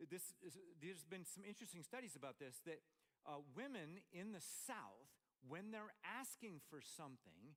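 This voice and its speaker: A man with an American accent speaks at a fairly slow pace in a high pitch, his tone animated and his intonation lively. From Montana. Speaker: pastor. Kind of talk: sermon.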